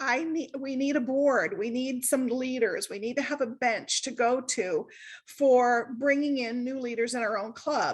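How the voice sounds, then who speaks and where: Loud speech with ordinary pitch variation comes at a moderate pace over a quiet background. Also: woman. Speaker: service club member giving a talk. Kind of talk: online workshop presentation. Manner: casual, chatty with many fillers.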